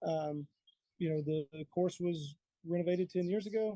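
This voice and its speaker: In a Texan accent, a man speaks at a fairly quick pace with a high pitch. His tone is dark and mellow, recorded in a dry, close sound with no echo. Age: 30s. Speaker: golf course superintendent. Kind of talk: casual interview. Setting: outdoors on a deck, live.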